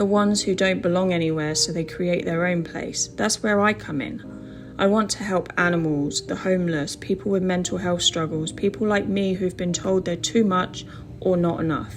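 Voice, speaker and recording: A woman with a British accent speaks at a fairly low pitch. Noticeable background noise sits behind her. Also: ordinary pitch variation, moderate pace. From England. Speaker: online English teacher and vlogger. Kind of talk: personal vlog monologue.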